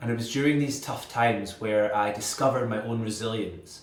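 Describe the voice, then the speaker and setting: Speaking with a Scottish accent at a moderate pace, a man with a medium pitch is heard over noticeable background noise. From Scotland. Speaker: inspirational speaker. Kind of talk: motivational speaker showreel.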